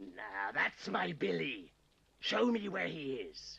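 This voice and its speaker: In a raspy, menacing put-on character voice, a man speaks at a medium pitch. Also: fairly slow pace. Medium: short film. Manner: wheedling, menacing.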